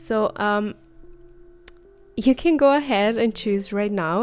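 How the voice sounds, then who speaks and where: A woman with a non-native accent speaks at a fairly slow pace over music in the background. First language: not English. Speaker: tarot reader, spiritual content creator. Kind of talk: casual tarot reading video. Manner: hesitant, many fillers.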